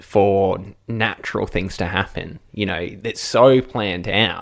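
A man talks with an Australian accent. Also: very clean recording, silent background. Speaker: radio presenter and podcast co-host. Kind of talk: casual chat, podcast recap.

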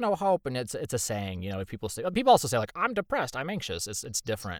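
With vocal fry and very wide pitch swings, a man talks at a very fast pace in a dry, close sound with no echo. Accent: American. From Indiana, US Midwest. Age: 30s. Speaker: voice actor. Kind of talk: casual chat. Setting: video call.

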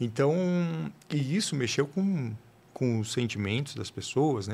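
A man's somewhat breathy voice with lively intonation, on a very clean recording with a silent background. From São Paulo, Brazil. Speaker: writer and food blogger. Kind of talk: casual interview. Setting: podcast studio. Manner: halting, many repetitions.

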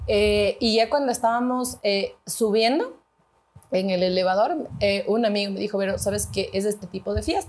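At a moderate pace, a woman with a fairly high pitch and ordinary pitch variation speaks in an unremarkable speaking voice. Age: 30s. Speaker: executive producer. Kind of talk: casual chat.

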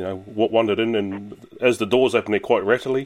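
Here a man talks with a New Zealand accent. His pace is fairly quick. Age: 30s. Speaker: sports radio co-host. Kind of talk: casual chat.

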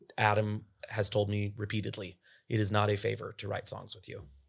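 A man speaks at a fairly quick pace with fairly low pitch, vocal fry and monotone, flat intonation. The recording is very clean with a silent background. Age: 30s. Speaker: country singer-songwriter. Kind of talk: casual chat.

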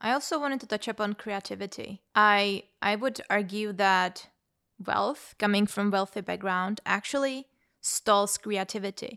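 A woman with a Czech accent at a medium pitch and moderate pace, her tone bright and sharp, in a very clean recording with a silent background and a dry, close sound with no echo. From Czech Republic, Prague. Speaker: podcast host. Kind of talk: casual discussion.

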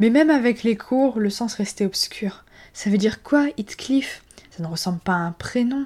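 Lively intonation from a woman with a fairly high, somewhat breathy voice. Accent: French. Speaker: literature podcast host. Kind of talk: scripted book review monologue. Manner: hesitant, with fillers.

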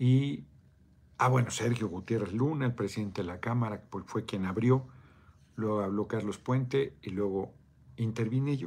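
Pausing long and often, a man talks at a moderate pace in a medium pitch with ordinary pitch variation. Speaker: political livestreamer. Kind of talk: live video chat reading comments. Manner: casual, profane.

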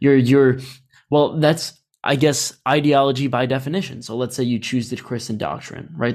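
A man with an ordinary speaking voice talks at a medium pitch and moderate pace, with fairly even intonation. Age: 20s. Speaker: podcast host. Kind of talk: casual interview chat.

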